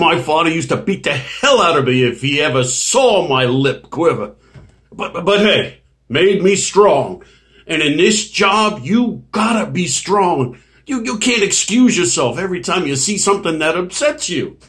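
This man's voice moves through very wide pitch swings at a moderate pace. The background is quiet. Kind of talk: acted dramatic monologue. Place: home room. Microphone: webcam.

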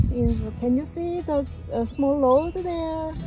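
A woman speaks at a very slow pace. Clear music plays in the background, and the sound is dry with no echo. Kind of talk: tutorial. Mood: cheerful, relaxed. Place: open country.

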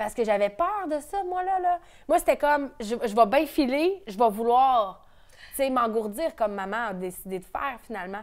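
A speaker with a Quebec accent talks at a moderate pace against a quiet background. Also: woman. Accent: Québécois French. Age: 30s. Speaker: entrepreneur; interviewee. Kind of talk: interview. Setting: at the host's home. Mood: candid, personal, animated. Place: home room.

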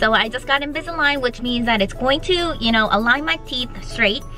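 Faint music plays in the background as a woman speaks at a moderate pace, the sound dry with no echo. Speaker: toy collector vlogger. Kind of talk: casual vlog chat. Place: car. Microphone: phone near.

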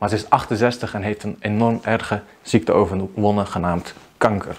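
His pitch shows ordinary variation. This man talks at a moderate pace. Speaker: video marketing coach. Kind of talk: vlog monologue. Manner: unscripted, spontaneous. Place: home room. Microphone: lapel.

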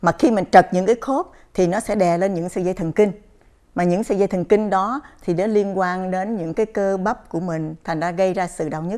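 With a quiet background, a woman talks very fast in a dark, mellow voice at medium pitch with ordinary pitch variation. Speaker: chiropractor. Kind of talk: interview on a health program. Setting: studio. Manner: halting, many fillers. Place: studio. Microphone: lapel.

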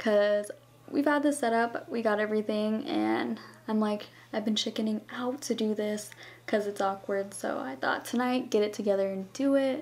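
A woman with an American accent speaks at a moderate pace, her fairly high pitch carrying ordinary pitch variation. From US West, Las Vegas; Nevada. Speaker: beauty vlogger. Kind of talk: casual Q&A vlog. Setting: home. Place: home room. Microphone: camera far.

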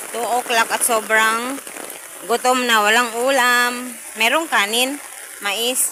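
A woman's high pitch at a very slow pace, in a monotone, flat intonation, with noticeable background noise. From Philippines. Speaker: vlogger. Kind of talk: casual vlog monologue. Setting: outdoors in the rain.

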